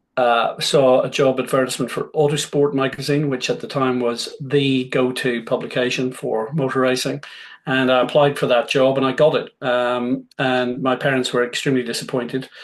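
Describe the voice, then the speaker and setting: Against a quiet background, a man with a Northern Irish accent speaks in a monotone, flat intonation with hardly any pauses. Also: medium pitch for a man, moderate pace. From Northern Ireland, Belfast. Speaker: motorsport business executive. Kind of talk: Q&A talk. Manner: hesitant with many fillers.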